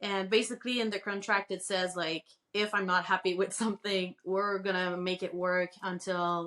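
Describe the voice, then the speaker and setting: In a Quebec accent, a woman speaks at a moderate pace and medium pitch, her bright, sharp tone held in monotone, flat intonation. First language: French. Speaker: crochet pattern designer and author. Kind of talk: podcast interview.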